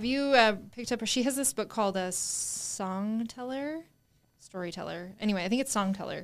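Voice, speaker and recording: Speaking fairly quickly with a normal speaking voice, a woman with an American accent uses a fairly high pitch and ordinary pitch variation. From small-town California. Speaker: real estate agent and podcast co-host. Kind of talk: casual chat.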